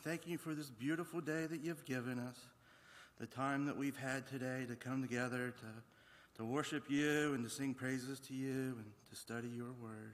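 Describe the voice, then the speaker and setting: With a plain, everyday voice, a man talks at a medium pitch. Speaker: scripture reader and prayer leader. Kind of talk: prayer. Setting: church.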